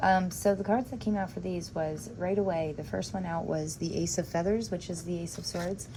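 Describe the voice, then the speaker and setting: A woman's somewhat breathy voice, fairly low in pitch, has a dark, mellow tone and ordinary pitch variation. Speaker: tarot reader. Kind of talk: tarot reading video. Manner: halting, stumbling over words; casual, chatty.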